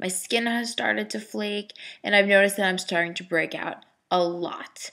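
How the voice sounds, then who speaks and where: A bright, sharp tone at a moderate pace with fairly even intonation. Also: woman. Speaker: vlogger. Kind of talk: personal video diary. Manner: rambling, hesitant.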